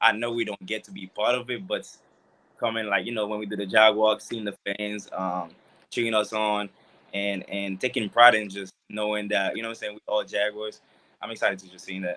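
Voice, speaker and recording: In a Haitian accent, a man talks at a fairly quick pace with monotone, flat intonation. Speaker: college football player. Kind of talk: casual interview.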